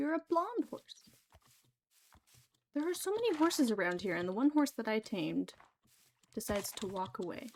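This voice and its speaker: A soft-spoken woman's fairly high voice, with very wide pitch swings and long, frequent pauses. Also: moderate pace. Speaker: gaming streamer. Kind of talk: casual live gameplay commentary. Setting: livestream at home computer. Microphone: new mic, voice quiet, keyboard loud.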